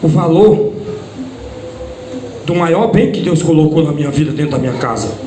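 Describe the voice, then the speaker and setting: A loud man talks at a fairly slow pace in a high voice with ordinary pitch variation. Audible room echo and noticeable background noise fill the recording. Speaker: preacher. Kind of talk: sermon. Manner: loud, forceful preaching.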